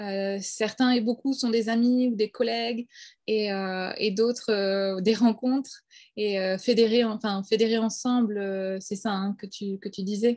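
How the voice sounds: This woman's voice has a slightly mellow tone and a medium pitch. Her intonation stays fairly even at a fairly slow pace.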